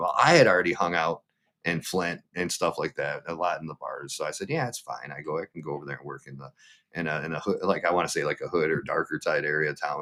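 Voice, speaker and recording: This man talks at a very fast pace in a Midwestern American accent. His loudness swings widely. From Michigan. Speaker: livestreamer and former meat cutter. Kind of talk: interview answer. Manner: casual, conversational.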